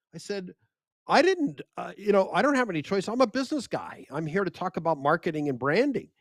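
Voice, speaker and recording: With an animated tone and very wide pitch swings, a man with a high pitch speaks at a fairly quick pace in a dry, close sound with no echo. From United States. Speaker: media expert and speaker. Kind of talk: interview conversation.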